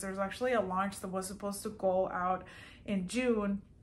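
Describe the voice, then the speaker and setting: A woman talks at a fairly quick pace. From Colombia, Medellin, moved to US at 14. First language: Spanish. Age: 30s. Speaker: small fashion business owner, vlogger. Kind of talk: casual vlog, answering viewer questions. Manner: casual, many fillers.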